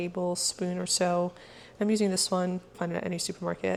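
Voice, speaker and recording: Noticeable background noise is heard. Over it, a woman talks. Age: 30s. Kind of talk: casual cooking vlog talk to camera.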